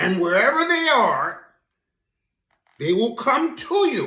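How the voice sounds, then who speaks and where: Putting on a character voice, a man speaks at an extremely high pitch and a fairly slow pace. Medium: read story.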